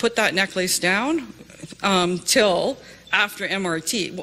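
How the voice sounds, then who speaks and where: Speaking very slowly with a Canadian accent, a woman uses lively intonation and a bright, sharp tone. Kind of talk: testimony. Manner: hesitant, many fillers.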